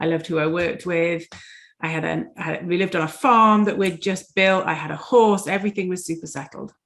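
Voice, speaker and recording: A woman talks at a fairly quick pace with a Yorkshire accent. Her pitch sits fairly low. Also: ordinary pitch variation. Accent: English (Yorkshire) accent, noticeable. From Yorkshire, England. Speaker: dentist and life coach. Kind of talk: interview.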